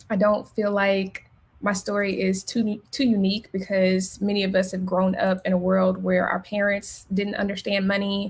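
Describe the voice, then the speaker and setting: In a Memphis accent, this somewhat breathy voice keeps a monotone, flat intonation at a moderate pace with very even loudness. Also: woman, medium pitch for a woman. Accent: Memphis Southern. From Memphis, Tennessee. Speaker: accountant. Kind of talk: webinar presentation. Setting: live stream.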